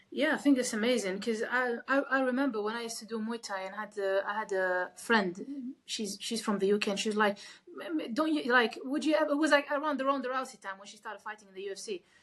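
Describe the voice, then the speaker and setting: This woman talks very fast, and her pitch varies in an ordinary way. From Kuwait. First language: not English. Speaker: MMA fighter. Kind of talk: interview. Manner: halting.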